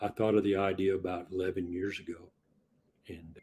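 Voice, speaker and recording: A man's very deep, low, somewhat breathy voice. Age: 60s. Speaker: inventor and part-time truck driver. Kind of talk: podcast interview.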